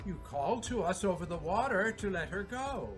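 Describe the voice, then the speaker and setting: A put-on character voice at middle pitch and moderate pace over clear music in the background. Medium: stage play.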